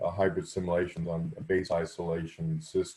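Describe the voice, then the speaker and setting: A man speaks in a very deep, low voice with a dark, mellow, somewhat breathy tone. The recording is very clean, with a silent background. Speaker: research facility director presenting. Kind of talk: virtual workshop presentation. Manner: fast.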